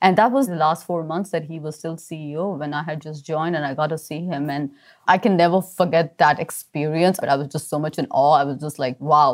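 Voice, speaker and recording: A woman with a very deep, low pitch talks fairly quickly, with hardly any pauses and ordinary pitch variation. The recording is very clean, with a silent background. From India, Mumbai. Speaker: tech company CEO. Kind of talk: interview.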